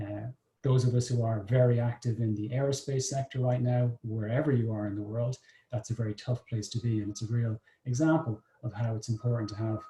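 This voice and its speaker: Flat, monotone delivery in an Irish accent, somewhat breathy, at a fairly quick pace with a dark, mellow tone. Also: man, medium pitch for a man. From Ireland. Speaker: business development consultant, session moderator. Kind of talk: moderated online discussion. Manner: hesitant, many filler words.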